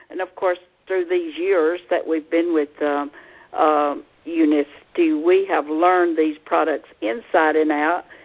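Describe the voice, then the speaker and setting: A woman with a Southern US accent speaks at a fairly slow pace and fairly low pitch. Her intonation stays fairly even over a quiet background. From US South. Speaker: co-host, herbalist. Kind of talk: casual chat.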